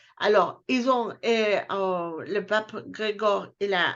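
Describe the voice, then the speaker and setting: A woman is talking. Her pitch is fairly high. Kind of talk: casual chat. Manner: halting.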